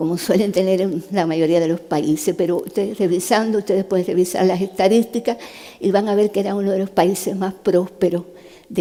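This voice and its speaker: Over noticeable background noise, a woman talks at a fairly quick pace with medium pitch and fairly even intonation. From Cuba. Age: 70s. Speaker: neurosurgeon and human rights activist. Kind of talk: public talk.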